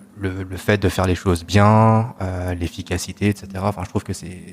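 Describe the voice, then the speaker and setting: At a moderate pace, a man with a very deep, low pitch speaks in a flat monotone. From Belgium, Brussels. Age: 30s. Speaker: podcast guest. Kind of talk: casual chat. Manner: hesitant, many fillers.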